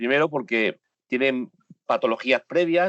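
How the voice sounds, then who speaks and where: Ordinary pitch variation with a Spanish accent. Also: man. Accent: Spanish (Spain). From Spain. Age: 60s. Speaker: photojournalist. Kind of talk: interview. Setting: home studio, remote call. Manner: emphatic.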